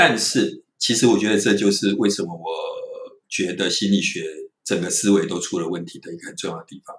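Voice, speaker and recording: An unremarkable speaking voice from a man, fairly low in pitch with ordinary variation, at a fairly quick pace with big swings in loudness. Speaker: psychology professor. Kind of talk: interview.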